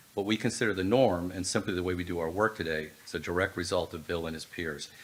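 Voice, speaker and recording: This man has a very deep, low pitch and talks at a fairly quick pace. His intonation stays fairly even over noticeable background noise. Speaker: healthcare supply chain executive. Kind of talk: award presentation speech. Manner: halting; reading from prepared notes.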